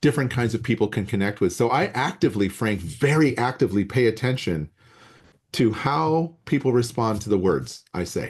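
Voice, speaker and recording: A man speaks in a plain, everyday voice with an American accent, at medium pitch and a moderate pace. His intonation is lively, and the background is quiet. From US Southwest desert. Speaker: biology professor. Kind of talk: casual chat. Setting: video call.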